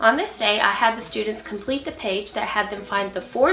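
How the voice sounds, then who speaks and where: Music plays behind a woman whose fairly high pitch carries ordinary pitch variation. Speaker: early childhood teacher. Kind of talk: tutorial.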